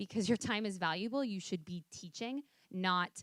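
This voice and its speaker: This woman has a plain, everyday voice, an American accent and a medium pitch. She speaks at a moderate pace in a dry, close sound with no echo. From US, New York City. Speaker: software company founder, fitness instructor. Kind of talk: panel discussion. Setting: stage with audience.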